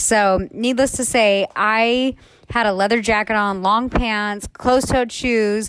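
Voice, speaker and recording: Very slowly and at very even loudness, a woman with a fairly high pitch speaks in a monotone, flat intonation. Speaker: podcast co-host. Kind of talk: casual chat. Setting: in bed. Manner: casual, filler-heavy.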